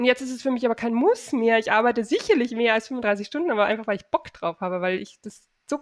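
With a quiet background, someone talks at a fairly quick pace in a normal speaking voice. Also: woman. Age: 40s. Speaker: online shop owner and e-commerce coach. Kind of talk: casual interview chat.

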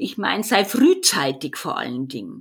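With a Bavarian accent, a woman speaks very slowly at a medium pitch, her voice showing vocal fry. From Bavaria, Erding northeast of Munich. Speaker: business consultant, vision coach. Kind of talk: interview.

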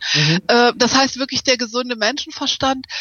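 A woman's fairly high voice at a very fast pace, over noticeable background noise. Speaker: author and speaker on content marketing. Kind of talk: interview.

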